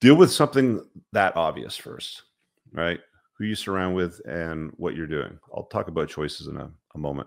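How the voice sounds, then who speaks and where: Over a quiet background, a man with a very deep, low pitch speaks at a moderate pace. His intonation is lively, with big swings in loudness. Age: 40s. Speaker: men's self-help host. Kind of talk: motivational monologue. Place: home room. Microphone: studio mic.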